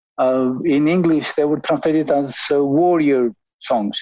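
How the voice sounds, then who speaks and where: A man speaks with an Albanian accent at a fairly slow pace. His pitch is fairly high with ordinary variation, and the background is quiet. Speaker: ethnomusicologist. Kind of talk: interview. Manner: halting.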